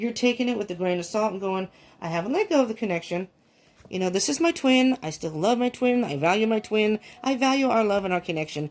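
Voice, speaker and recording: A fairly high-pitched woman at a very fast pace, her intonation lively. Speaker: tarot reader. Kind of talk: tarot reading.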